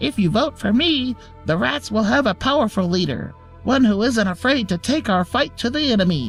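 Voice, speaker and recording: In a put-on character voice at a fairly high pitch, the speaker moves at a moderate pace over clear music in the background. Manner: proclaiming, forceful.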